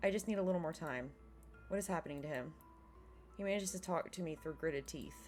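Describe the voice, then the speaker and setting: Over music in the background, a woman with a very deep, low pitch talks at a very fast pace, broken by long, frequent pauses. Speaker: gaming let's play host reading visual novel aloud. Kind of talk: reading visual novel dialogue and narration aloud.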